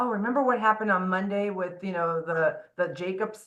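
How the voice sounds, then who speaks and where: A woman speaks at a medium pitch with ordinary pitch variation. Her pace is fairly quick. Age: 50s. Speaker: mortgage loan originator. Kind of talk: casual interview. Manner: fast; mumbling at times.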